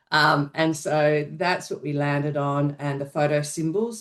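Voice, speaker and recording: Speech moves at a moderate speed. It comes with an Australian accent. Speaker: researcher. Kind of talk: research presentation.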